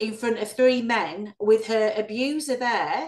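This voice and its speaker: A woman's high-pitched voice at a very slow pace, over a quiet background. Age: 50s. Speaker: ex-Jehovah's Witness activist, channel host. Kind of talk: interview. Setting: video call. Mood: earnest, indignant about abuse. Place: home room. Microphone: video call.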